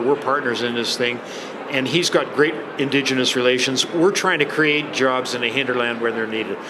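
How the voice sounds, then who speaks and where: A man with a Canadian accent at a medium pitch and fairly quick pace, amid noticeable background noise and audible room echo. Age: 70s. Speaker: engineer and company founder. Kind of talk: interview. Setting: convention expo floor. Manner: animated.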